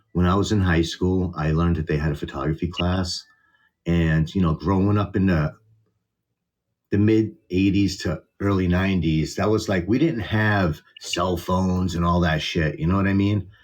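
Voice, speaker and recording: Strong Boston accent, fairly even intonation, moderate pace and very even loudness. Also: man, very deep, low pitch for a man. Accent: Boston accent, still strong. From Boston area, US. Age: 40s. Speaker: content creator. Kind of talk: casual interview. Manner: casual, hesitant.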